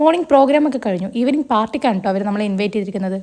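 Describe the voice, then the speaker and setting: Here is a woman with a plain, everyday voice. Her pitch is fairly high and her intonation lively. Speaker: family vlogger. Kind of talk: vlog narration.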